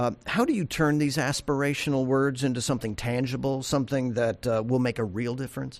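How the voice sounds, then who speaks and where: A man with an ordinary speaking voice talks at medium pitch and a fairly quick pace. He uses fairly even intonation and hardly any pauses. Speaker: podcast host for banking agency. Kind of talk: interview. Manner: formal.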